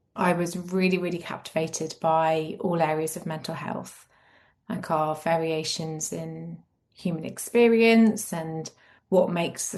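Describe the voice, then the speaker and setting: A woman with an English accent speaks at a fairly low pitch. She talks at a fairly slow pace against a quiet background. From England. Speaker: clinical psychologist and yoga therapist. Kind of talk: interview.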